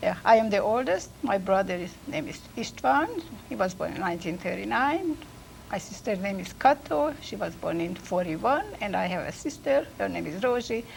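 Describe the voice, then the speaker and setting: Over noticeable background noise, a woman at a medium pitch talks at a moderate speed while her pitch swings very widely. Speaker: immigrant telling life story. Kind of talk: family interview. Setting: recorded at a college.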